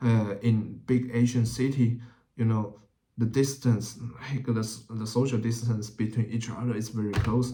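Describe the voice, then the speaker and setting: A man with a Chinese accent at medium pitch, somewhat breathy, dark and mellow in tone, with monotone, flat intonation and a moderate pace. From Taiwan (Taipei). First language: Mandarin Chinese. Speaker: YouTuber. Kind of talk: casual vlog talk. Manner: halting, many fillers.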